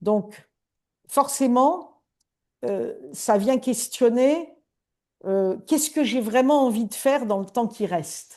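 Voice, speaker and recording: With a dark, mellow tone and lively intonation, the speaker goes at a very slow pace with long, frequent pauses. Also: woman, high pitch for a woman. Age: 60s. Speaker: coach. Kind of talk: interview.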